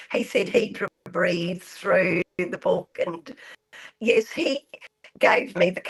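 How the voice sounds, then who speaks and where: A woman with an Australian accent is heard in a dry, close recording with no echo. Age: 70s. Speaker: author. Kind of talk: radio interview.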